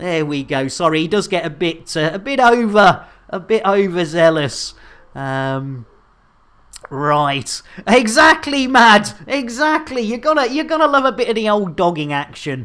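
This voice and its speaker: Fairly slow, animated speech in a British accent. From Britain. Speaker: game streamer. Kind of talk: live gaming stream chat. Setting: live stream. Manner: animated, jokey.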